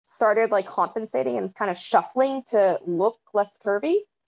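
A woman with an American accent speaks at a moderate pace and medium pitch in an ordinary speaking voice, her intonation lively. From San Francisco Bay Area, California. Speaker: panelist, athlete. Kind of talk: casual chat.

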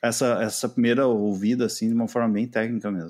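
A man's ordinary speaking voice at a medium pitch, fairly quick pace, quiet background. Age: 30s. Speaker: podcaster, IT worker and musician. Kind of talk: casual interview chat.

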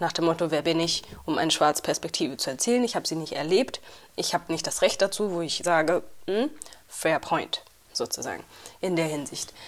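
A woman talks at a fairly quick pace with long, frequent pauses. Her pitch is fairly low, with ordinary variation. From Uganda / Rwanda. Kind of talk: casual chat.

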